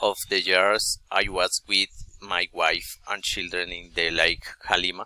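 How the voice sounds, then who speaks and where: A man's bright, sharp tone in a Colombian accent, at a fairly slow pace. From Colombia, Bogotá. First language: Spanish. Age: 40s. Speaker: adult student. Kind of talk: class presentation. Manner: halting, many hesitations.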